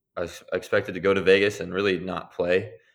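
A man's very deep, low voice at a moderate pace against a quiet background. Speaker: professional basketball player. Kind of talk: interview.

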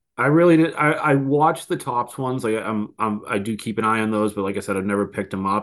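Against a quiet background, a man with a Boston accent and a fairly low pitch talks at a very fast pace with ordinary pitch variation. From Boston, US Northeast. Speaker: card collector guest. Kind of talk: casual chat.

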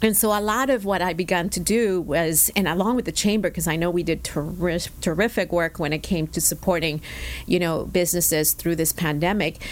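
A woman with a plain, everyday voice talks at a fairly quick pace. Her pitch is fairly low, with ordinary pitch variation. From Mexicali, Mexico; moved at 11 to El Centro, California. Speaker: bank executive and chamber board chair. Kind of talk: interview.

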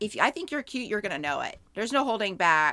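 Her tone bright and sharp, a woman with a fairly high pitch makes very wide pitch swings on a very clean recording with a silent background. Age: 50s. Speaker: podcast co-host. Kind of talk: casual chat. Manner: animated.

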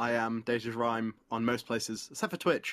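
A man talks at a moderate pace with a British accent. The sound is dry and close with no echo, in a very clean recording with a silent background. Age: 20s. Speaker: streamer and live events worker. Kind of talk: casual chat.

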